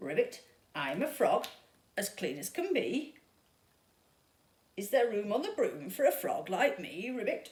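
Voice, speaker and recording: A croaky, put-on character voice has a fairly high pitch and a moderate pace. Long, frequent pauses break up the speech. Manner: polite.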